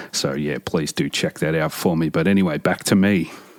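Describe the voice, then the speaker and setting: A man speaks at a fairly quick pace with an Australian accent and fairly even intonation. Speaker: metal podcast host. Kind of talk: podcast monologue. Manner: casual.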